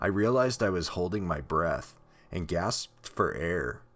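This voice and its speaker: Music plays in the background as a man with a very deep, low voice speaks at a moderate pace with very wide pitch swings. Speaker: horror story narrator. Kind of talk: horror story narration.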